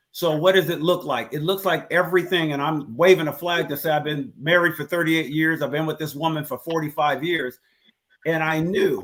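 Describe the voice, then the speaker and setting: With an ordinary speaking voice, a man of fairly high pitch talks at a moderate pace with ordinary pitch variation. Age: 60s. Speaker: father in a discussion panel. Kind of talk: casual chat. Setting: live stream.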